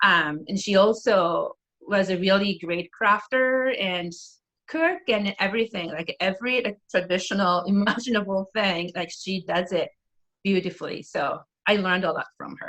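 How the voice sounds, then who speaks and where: Speaking with a Japanese accent, a woman uses a medium pitch, ordinary pitch variation and a bright, sharp tone at a moderate pace. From northeastern Japan, Aomori. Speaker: preschool teacher and musician. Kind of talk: casual interview.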